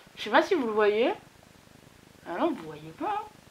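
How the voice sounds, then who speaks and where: A woman speaks at a moderate pace with high pitch and lively intonation. There is noticeable background noise. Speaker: beauty vlogger. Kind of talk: casual vlog tutorial. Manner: animated.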